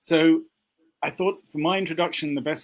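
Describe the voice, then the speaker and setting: Fairly even intonation marks a man talking in a British accent. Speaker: conspiracy commentator. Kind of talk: casual panel discussion.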